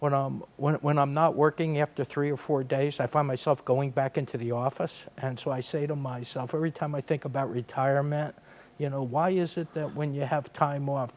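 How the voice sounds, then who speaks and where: A man's fairly high, flat monotone at a fairly quick pace, with hardly any pauses. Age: 60s. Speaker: real estate development executive. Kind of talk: podcast interview.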